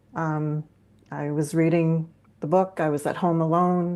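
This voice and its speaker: A woman speaks in a Canadian accent with a dark, mellow tone. Her intonation is monotone and flat, and the background is quiet. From Canada (northern Ontario). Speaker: cozy mystery author. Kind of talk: casual chat.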